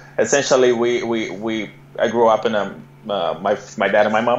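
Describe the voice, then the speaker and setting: A man talks at a fairly quick pace in a medium pitch, with noticeable background noise behind him. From Brazil. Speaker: entrepreneur and immigrant guest. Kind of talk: interview. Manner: halting with many fillers and repeats.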